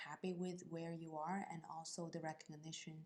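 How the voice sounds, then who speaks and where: The woman's fairly low voice keeps a fairly even intonation. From China. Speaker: accountant. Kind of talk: interview. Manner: halting.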